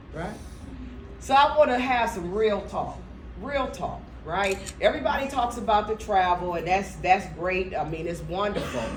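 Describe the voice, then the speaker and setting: Amid noticeable background noise and audible room echo, a woman of medium pitch speaks at a moderate pace with an animated tone and lively intonation. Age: 60s. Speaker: motivational speaker. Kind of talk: motivational talk. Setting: stage with audience.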